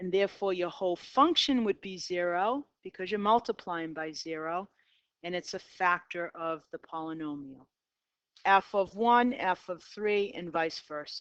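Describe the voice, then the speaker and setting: With a Boston accent, a woman talks at a moderate pace in a medium pitch, her loudness swinging widely, her pitch varying in an ordinary way, and the sound dry and close with no echo. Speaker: math teacher. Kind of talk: casual classroom lecture. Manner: conversational, uses fillers.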